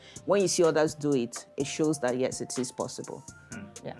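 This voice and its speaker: Over music in the background, the speech moves at a moderate pace with ordinary pitch variation. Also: woman. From Nigeria. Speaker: immigration lawyer. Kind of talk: podcast interview answer.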